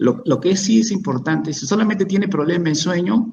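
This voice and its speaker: A man's somewhat breathy voice moves along at a fairly quick pace. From Peru. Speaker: psychiatrist. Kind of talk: expert Q&A answering audience questions. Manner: halting, many repetitions and false starts.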